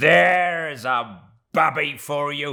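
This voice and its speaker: A man puts on a growling character voice. His pitch runs fairly high. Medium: read story. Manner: hearty, roaring.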